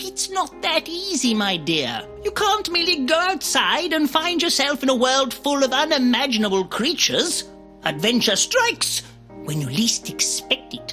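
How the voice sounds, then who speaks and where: A man speaks at a moderate pace in a put-on character voice, with clear music playing in the background. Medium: machinima. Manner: pompous, dry.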